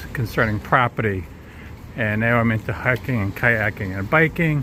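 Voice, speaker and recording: Against noticeable background noise, a man with a Long Island accent talks at a moderate pace. His pitch is medium. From Long Island, New York. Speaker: vlogger, tour guide. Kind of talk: casual walking tour commentary. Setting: outdoors walking.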